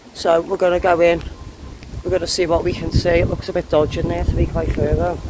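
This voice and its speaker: The recording is dry with no echo, with noticeable background noise. A man talks at a very fast pace. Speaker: urban explorer vlogger. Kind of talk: casual vlog chat. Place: open country. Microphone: phone near.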